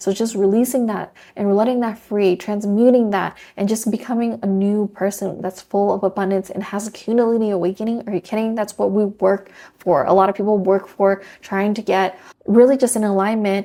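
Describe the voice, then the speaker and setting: Her tone dark and mellow, a woman speaks at medium pitch. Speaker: tarot reader. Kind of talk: tarot reading to camera. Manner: fast; animated.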